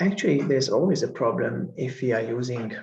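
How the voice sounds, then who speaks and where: A man with a Hungarian accent speaks at a medium pitch and a moderate pace, with vocal fry. Audible room echo surrounds his voice. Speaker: professor and researcher. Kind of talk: conference lecture.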